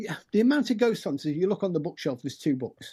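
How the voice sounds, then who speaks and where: Pitch swings very wide in this man's voice, which has a dark, mellow tone. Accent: British. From UK. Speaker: paranormal investigator and author. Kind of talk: podcast interview.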